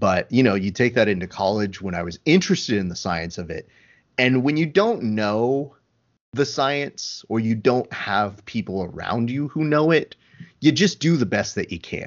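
A man talks in a normal speaking voice at a medium pitch. His pace is moderate and his intonation lively. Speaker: podcast host. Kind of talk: casual interview chat. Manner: joking, sarcastic.

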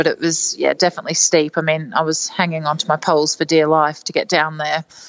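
In a monotone, flat intonation, a woman talks with a fairly low pitch. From Netherlands. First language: Dutch. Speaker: amateur ultrarunner. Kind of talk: interview. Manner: casual, hesitant with fillers.

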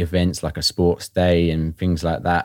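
A man with a southern English accent talks at a fairly quick pace in a very deep, low voice. The sound is dry and close with no echo, on a very clean recording with a silent background. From southern England (Watford). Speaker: new father, founder of a dads' group. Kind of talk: interview.

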